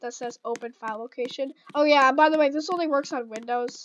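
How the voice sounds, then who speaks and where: Loud and fairly quick, a woman talks at a high pitch with fairly even intonation. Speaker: gaming YouTuber. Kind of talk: tutorial. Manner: halting, many fillers. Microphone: new microphone.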